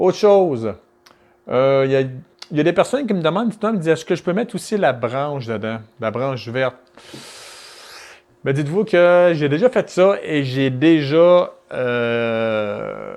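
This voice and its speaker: A man with a fairly high pitch speaks at a fairly slow pace, his voice swinging widely in pitch and making big jumps in loudness. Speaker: weight-loss coach and juice recipe youtuber. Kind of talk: casual vlog talk to camera. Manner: halting, with stammers and fillers.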